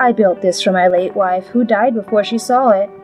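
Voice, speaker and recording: Music plays in the background as a woman speaks at a moderate pace with lively intonation. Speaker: storyteller. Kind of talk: dramatic comic narration.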